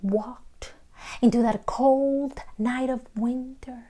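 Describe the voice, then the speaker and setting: Speaking at a very slow pace, a woman has a dark, mellow tone that is somewhat breathy, with ordinary pitch variation. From Colombia. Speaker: storyteller. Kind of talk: told folktale.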